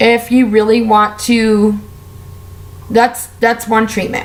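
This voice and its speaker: Over noticeable background noise, a woman with a fairly high voice talks in an animated tone at a fairly slow pace. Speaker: beauty and lifestyle vlogger. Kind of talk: casual vlog monologue.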